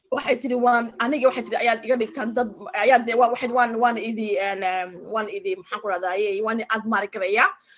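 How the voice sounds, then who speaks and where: Talking at a very fast pace with hardly any pauses, a woman with a fairly high pitch is heard over noticeable background noise. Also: ordinary pitch variation. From Djibouti. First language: French. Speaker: interpreter. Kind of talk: interpreting. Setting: video call. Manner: halting.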